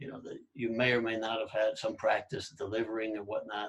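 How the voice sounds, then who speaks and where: A man talks at a fairly quick pace in a somewhat breathy voice of fairly low pitch. His intonation is monotone and flat. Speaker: podcast host, language learner. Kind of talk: casual conversation.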